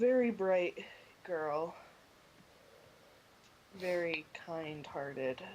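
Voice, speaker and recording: In a put-on character voice that sounds strained, the speaker talks at a middle pitch and a very slow pace, with long, frequent pauses. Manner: pained, strained, forced politeness.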